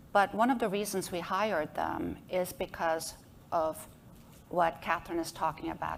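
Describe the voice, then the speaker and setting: A woman with a non-native accent speaks at a moderate pace in a fairly low voice with vocal fry. Her pitch varies in an ordinary way. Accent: noticeable foreign. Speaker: association executive director, lawyer. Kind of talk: panel discussion.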